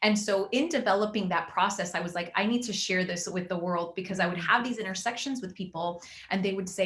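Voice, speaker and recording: Through noticeable background noise, a woman speaks at a fairly quick pace and medium pitch with ordinary pitch variation. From Venezuela, later Miami. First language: Spanish. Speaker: magazine founder and life coach. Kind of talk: interview.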